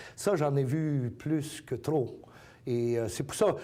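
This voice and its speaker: His tone is dark and mellow, somewhat breathy. This man's pitch moves in an ordinary way. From Acadia, New Brunswick. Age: 60s. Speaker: community organization president. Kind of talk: interview. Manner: hesitant with many fillers.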